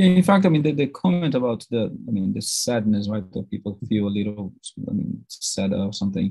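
A man with a Portuguese accent speaks at a fairly quick pace in a medium pitch, his dark, mellow tone swinging very widely in pitch, recorded dry with no echo against a quiet background. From Brazil. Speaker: academic audience member. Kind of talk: Q&A question; academic discussion Q&A. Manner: halting. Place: office. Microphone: video call.

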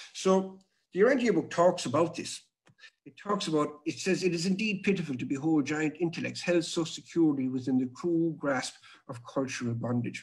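A man's voice with big swings in loudness and ordinary pitch variation, over a quiet background. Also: fairly quick pace. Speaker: webinar presenter. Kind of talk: lecture. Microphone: webcam.

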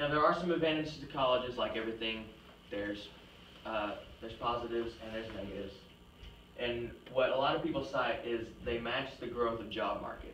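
A man talks at a fairly quick pace. The room echo is audible, and there is light background noise. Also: ordinary pitch variation. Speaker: presenter. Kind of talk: class presentation argument. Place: classroom. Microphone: camera far.

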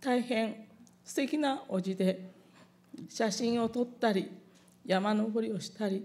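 A woman with a fairly high pitch and a dark, mellow, somewhat breathy tone speaks at a fairly slow pace, her loudness swinging widely, her pitch varying in an ordinary way, and her speech broken by long, frequent pauses. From Japan (Hiroshima); Japan. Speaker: atomic bomb survivor. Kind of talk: testimony. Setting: public event with audience. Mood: solemn, calm recollection. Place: hall. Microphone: podium.

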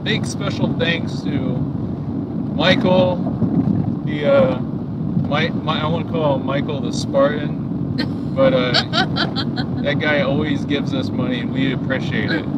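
Loud background noise, long and frequent pauses, a dry sound without echo, and a fairly slow pace. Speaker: truck driver vlogger. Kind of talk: casual vlog chat.

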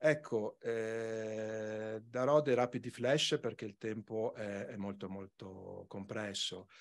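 Against a quiet background, a man with a medium pitch speaks at a very slow pace with hardly any pauses. His intonation stays fairly even while his loudness swings widely. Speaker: regional environment department official; conference presenter. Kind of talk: conference talk. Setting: conference hall with microphone. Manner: soft-spoken; hesitant, many fillers. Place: hall. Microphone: podium.

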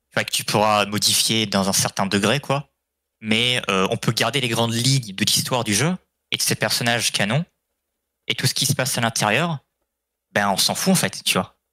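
At a moderate pace, a man speaks with a bright, sharp tone and long, frequent pauses. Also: medium pitch for a man, ordinary pitch variation, dry, close sound with no echo, very clean recording, silent background. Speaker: stream participant. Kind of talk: casual chat. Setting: voice chat.

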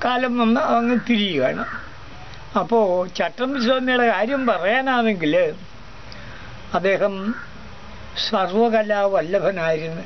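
Over light background noise, a man talks in a high pitch with ordinary pitch variation. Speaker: traditional teacher (aasaan). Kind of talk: storytelling talk on history.

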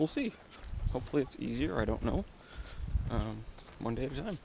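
The speaker talks at a moderate pace. Background noise is noticeable, and the sound is dry with no echo. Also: man. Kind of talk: casual vlog diary. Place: open country. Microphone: phone near.

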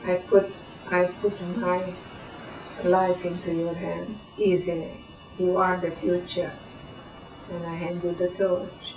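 With music in the background, a woman speaks at a medium pitch and a very slow pace. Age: 80s+. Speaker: Holocaust survivor. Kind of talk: interview answer.

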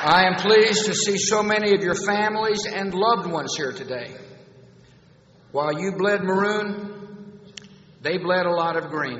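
A man talks at a moderate pace with a high pitch and ordinary pitch variation. Audible room echo and light background noise are present. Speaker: U.S. president giving a commencement speech. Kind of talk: commencement speech with humor. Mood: warm, humorous. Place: hall. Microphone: podium.

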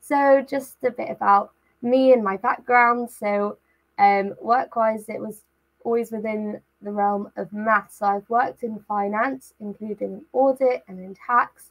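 The speech has big swings in loudness and ordinary pitch variation at a fairly slow pace. The background is quiet. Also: woman. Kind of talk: online talk presentation. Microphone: webcam.

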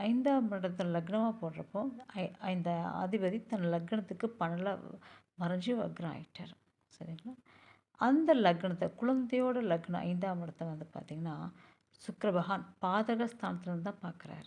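This woman's voice sits at a medium pitch, somewhat breathy, with a dark, mellow tone. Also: ordinary pitch variation. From Pollachi, Coimbatore district, Tamil Nadu. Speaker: astrologer. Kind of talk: tutorial.

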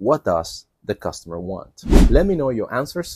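Against a quiet background, a man speaks at a fairly slow pace in a somewhat breathy voice with very wide pitch swings. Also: dry sound with no echo. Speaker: call center job trainer. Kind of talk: tutorial. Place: garden. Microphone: lapel.

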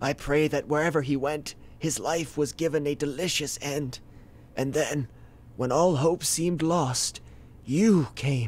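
A put-on character voice moves at a fairly slow pace on a very clean recording with a silent background. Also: man, fairly high pitch for a man. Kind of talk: mock-epic tragic monologue. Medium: comedy sketch. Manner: grandiose, solemn, melodramatic.

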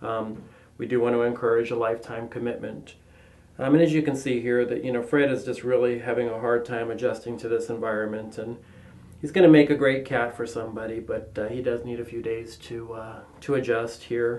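The man talks at a fairly quick pace. His intonation stays fairly even. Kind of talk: pet adoption presentation.

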